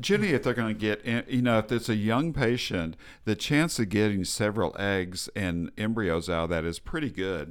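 In an American accent, the speaker keeps a moderate pace with hardly any pauses and lively intonation, on a very clean recording with a silent background. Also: man, fairly low pitch for a man. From Texas. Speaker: fertility specialist doctor. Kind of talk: interview. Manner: halting.

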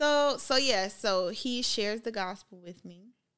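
A woman with an American accent and an ordinary speaking voice, fairly slow pace, ordinary pitch variation, and a very clean recording with a silent background. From Minnesota, US. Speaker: podcast guest. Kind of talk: casual interview chat.

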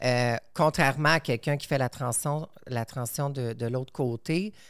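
Speaking very slowly, a woman with a very deep, low pitch uses ordinary pitch variation in a very clean recording with a silent background. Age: 30s. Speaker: airline medical assistance worker. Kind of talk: casual chat.

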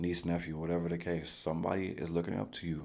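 A man talks at a fairly quick pace in a very deep, low pitch with a dark, mellow tone and monotone, flat intonation. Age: 20s. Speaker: solo podcast host. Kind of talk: casual monologue. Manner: conversational, with many fillers.

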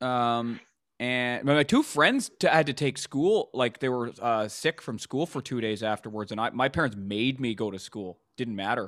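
A man with a Canadian accent speaks in a plain, everyday voice at medium pitch and a moderate pace, with ordinary pitch variation, in a dry, close recording with no echo and a quiet background. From Canada, Vancouver. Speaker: stand-up comedian. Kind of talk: casual interview chat.

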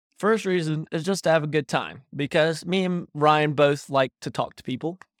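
At a moderate pace, the speaker talks in a Southern US accent on a very clean recording with a silent background. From North Carolina, Davidson County. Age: young. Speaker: podcast co-host, college student. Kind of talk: casual chat.

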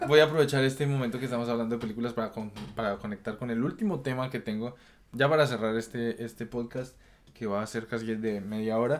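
Here is a normal speaking voice at a fairly quick pace. The intonation is fairly even. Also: man. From Colombia. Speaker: podcast host. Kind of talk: casual chat.

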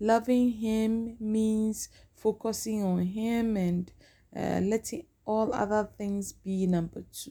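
A woman's very slow, somewhat breathy voice, fairly high-pitched, dark and mellow in tone, with fairly even intonation. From Ghana. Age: 40s. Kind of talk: casual podcast intro monologue. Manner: hesitant, with filler sounds.

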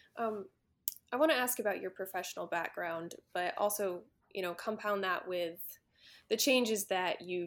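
Here is a woman with an unremarkable speaking voice at medium pitch. She talks at a moderate pace with ordinary pitch variation. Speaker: podcast host. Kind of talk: interview.

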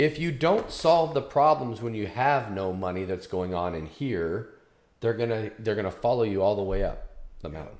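Lively intonation from a man with an unremarkable speaking voice. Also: medium pitch for a man, moderate pace. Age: 50s. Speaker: podcast host. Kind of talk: interview.

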